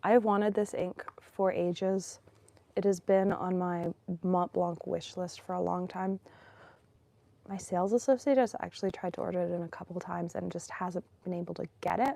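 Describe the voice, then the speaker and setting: The woman's voice sits at a medium pitch and has a dark, mellow tone. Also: fairly even intonation, moderate pace. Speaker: fountain pen and ink collector. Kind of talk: casual talk to camera.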